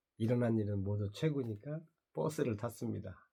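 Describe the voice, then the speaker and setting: A man speaks at medium pitch in a somewhat breathy, dark, mellow tone with ordinary pitch variation. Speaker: vlogger, channel owner. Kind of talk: casual monologue vlog. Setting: morning video diary.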